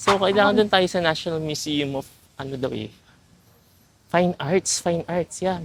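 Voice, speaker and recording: A woman is talking. Her voice is fairly low in pitch. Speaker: travel vlogger. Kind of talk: casual vlog. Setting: outdoors walking. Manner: animated.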